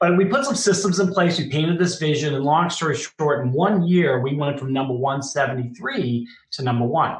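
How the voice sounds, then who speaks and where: Talking at a fairly quick pace with hardly any pauses, a man with a Boston accent and fairly high pitch uses ordinary pitch variation amid audible room echo. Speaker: business founder and former executive. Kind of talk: podcast interview.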